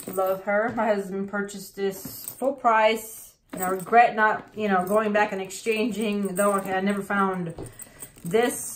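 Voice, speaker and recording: Against noticeable background noise, a woman speaks at a medium pitch and a fairly slow pace with fairly even intonation. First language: not English. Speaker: handbag collection vlogger. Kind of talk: casual show-and-tell video. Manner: halting, tongue-tied.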